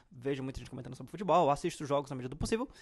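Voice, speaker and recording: His voice is pitched fairly high. The speaker is a man. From Brazil, Ceará (Fortaleza). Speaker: football fan youtuber. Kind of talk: casual monologue, football commentary. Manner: talkative, rambling with fillers.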